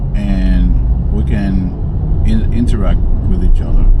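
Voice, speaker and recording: There is audible room echo and noticeable background noise as a man speaks. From Dominican Republic. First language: Spanish. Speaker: vlogger. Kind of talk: casual vlog talk to camera. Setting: outdoors walking to a shop. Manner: halting, many fillers.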